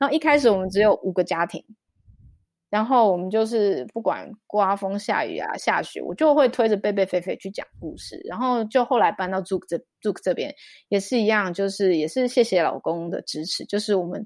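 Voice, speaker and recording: A woman with a Taiwanese accent talks at medium pitch and a moderate pace with lively intonation, on a very clean recording with a silent background. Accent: Taiwanese Mandarin. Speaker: children's storyteller and mother. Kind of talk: interview conversation.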